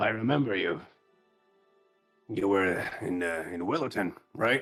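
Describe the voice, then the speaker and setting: A man puts on a raspy character voice, fairly low in pitch and fairly slow. Faint music plays in the background. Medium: actual play. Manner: calm, laconic.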